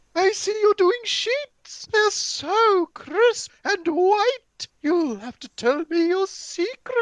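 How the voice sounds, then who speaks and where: In a squeaky, put-on character voice, the speaker goes at a very slow pace with lively intonation, recorded dry and close with no echo. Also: woman, extremely high pitch for a woman. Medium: stage play.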